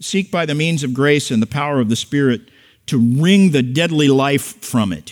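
The speaker has an ordinary speaking voice and talks at a moderate pace. The intonation is lively. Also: man. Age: 60s. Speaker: pastor. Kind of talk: sermon. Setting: church.

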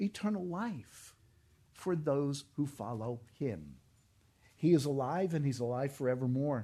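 A dark, mellow tone at a moderate pace, with ordinary pitch variation over a quiet background. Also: man. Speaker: pastor. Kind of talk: sermon.

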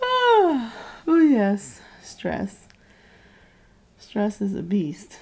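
A woman talks at a very slow pace, with long, frequent pauses. Noticeable background noise sits behind her. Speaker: podcast co-host. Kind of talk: casual chat.

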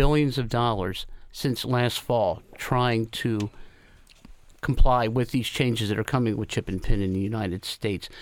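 This is a man with a normal speaking voice, talking at a moderate pace with ordinary pitch variation. The recording is very clean, with a silent background. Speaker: retail industry representative. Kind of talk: radio interview.

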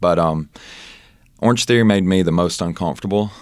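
A man speaks in a Southern US accent with a very deep, low pitch and ordinary pitch variation. The recording is very clean, the background silent. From Mississippi, US South. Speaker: personal trainer. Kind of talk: casual interview. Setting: studio.

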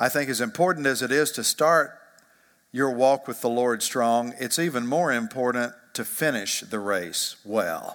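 On a very clean recording with a silent background, a plain, everyday voice moves at a fairly slow pace. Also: man, medium pitch for a man, ordinary pitch variation. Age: 50s. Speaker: pastor. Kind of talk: sermon.

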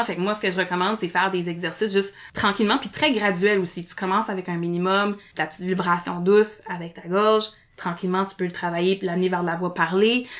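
Talking at a very fast pace, a woman with a medium pitch shows big swings in loudness. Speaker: speech therapist and improviser. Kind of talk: podcast interview. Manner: animated.

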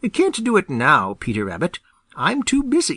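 A man mumbles in a put-on character voice. The background is quiet. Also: moderate pace. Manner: mumbling, muffled.

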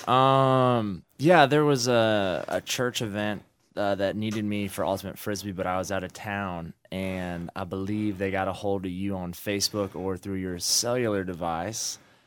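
On a very clean recording with a silent background, a man speaks in an ordinary speaking voice, fairly low in pitch, with ordinary pitch variation, a moderate pace and hardly any pauses. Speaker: host's son, young athlete. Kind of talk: casual radio interview. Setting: studio.

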